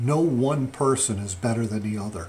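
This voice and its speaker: There's a man speaking over light background noise. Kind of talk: casual vlog chat. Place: home room. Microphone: phone near.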